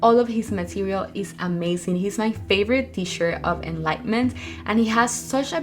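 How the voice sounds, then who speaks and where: A woman with a Spanish accent talks at a moderate pace. Noticeable background noise is present. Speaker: spiritual coach / YouTuber. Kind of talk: Q&A monologue answering viewer questions.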